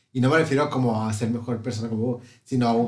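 A man's medium-pitched voice with a Mexican accent and fairly even intonation, plus audible room echo. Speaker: podcast host. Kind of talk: casual chat.

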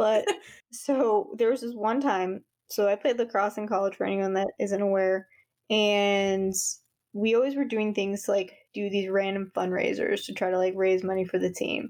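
A woman with an ordinary speaking voice, medium pitch, fairly even intonation and a moderate pace, in an American accent, against a quiet background. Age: 30s. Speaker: podcast co-host. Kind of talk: casual chat. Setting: video call.

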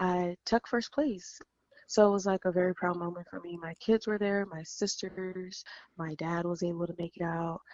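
In a plain, everyday voice with an American accent, a woman speaks at a moderate pace, fairly low in pitch with fairly even intonation. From California. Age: 30s. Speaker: professional bikini competitor. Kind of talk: interview conversation. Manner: frequent um fillers.

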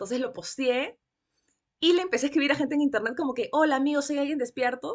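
Her pitch is high and varies in an ordinary way. The woman talks at a very fast pace in a Peruvian accent. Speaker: book podcaster and former bookseller. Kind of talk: casual chat. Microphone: sounds good on the podcast mic.

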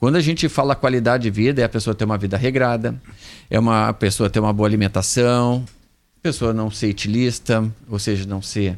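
Speaking fairly quickly in a plain, everyday voice, a man keeps a medium pitch with ordinary pitch variation. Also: very clean recording, silent background. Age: 50s. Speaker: medical doctor. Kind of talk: radio health interview.

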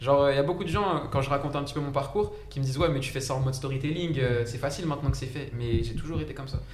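A man talks at a very fast pace in a fairly high pitch, with ordinary pitch variation. Noticeable background noise and audible room echo fill the recording. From France, Saint-Denis (93), Egyptian heritage. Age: 20s. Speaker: engineer and startup founder. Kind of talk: casual chat. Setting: live stream. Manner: talkative.

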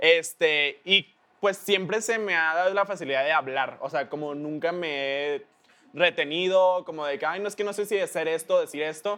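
The man's voice is pitched high. It carries a bright, sharp tone. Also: ordinary pitch variation, moderate pace. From Mexico. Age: 20s. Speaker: internet celebrity. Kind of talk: casual interview.

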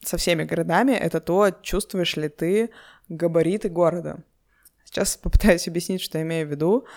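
This woman has an unremarkable speaking voice, fairly low in pitch with ordinary variation. She talks at a moderate pace on a very clean recording with a silent background. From Urals, Russia (Yekaterinburg). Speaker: podcast host. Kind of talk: solo podcast monologue.

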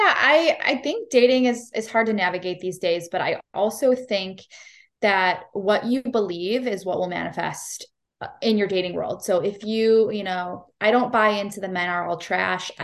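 An ordinary speaking voice comes from a woman with an American accent. Her pitch is medium, and the background is quiet. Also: ordinary pitch variation, moderate pace. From US Midwest (Cleveland, Ohio). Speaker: nurse and life coach. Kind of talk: casual interview chat.

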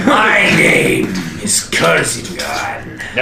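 A man shouts in a put-on character voice over loud background noise. There is a slight echo. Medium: actual play. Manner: proud, menacing.

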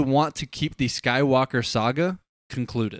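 A man has an unremarkable speaking voice with a fairly high pitch. His pitch variation is ordinary. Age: 20s. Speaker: podcast co-host. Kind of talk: casual chat. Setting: livestream.

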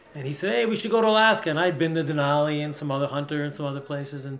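Speaking very fast in an American accent, a man uses a fairly high pitch with ordinary pitch variation. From Rochester, New York. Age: 60s. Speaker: climbing guide. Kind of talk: casual interview. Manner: animated.

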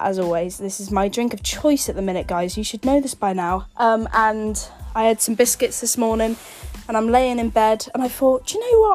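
Over noticeable background noise, a woman with an English accent and a fairly high pitch talks at a fairly quick pace. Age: 20s. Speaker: podcast host. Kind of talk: casual chat.

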